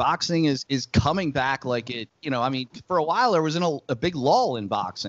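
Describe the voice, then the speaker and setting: A man in a normal speaking voice talks at a fairly quick pace with hardly any pauses. His pitch is fairly high and his intonation is lively. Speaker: podcast interviewer, MMA host. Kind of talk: casual interview talk.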